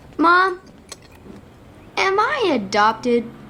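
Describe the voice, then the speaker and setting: In a put-on character voice, the speaker talks high with very wide pitch swings. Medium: voice reel.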